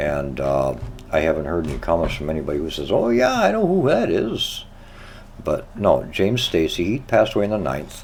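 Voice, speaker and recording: A man speaks at a fairly quick pace. Audible room echo and noticeable background noise surround his voice. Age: 70s. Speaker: radio show host. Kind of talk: casual chat.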